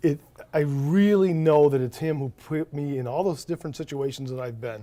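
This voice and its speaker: A man's fairly high-pitched voice with a dark, mellow tone. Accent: American. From US Midwest, St. Clair Shores, Michigan (Detroit area). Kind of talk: casual interview.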